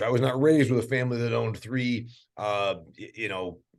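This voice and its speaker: An animated man's voice against a quiet background. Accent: American. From US Midwest, northeast Indiana. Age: 50s. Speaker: agriculture podcast host. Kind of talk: podcast interview.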